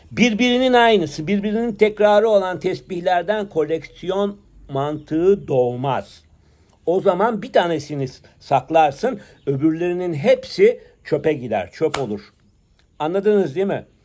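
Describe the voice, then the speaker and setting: Lively, fairly slow speech from a man at a high pitch. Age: 60s. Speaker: prayer bead collector and commentator. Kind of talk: monologue commentary; casual vlog chat, opinionated monologue. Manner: hesitant with filler sounds. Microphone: phone near.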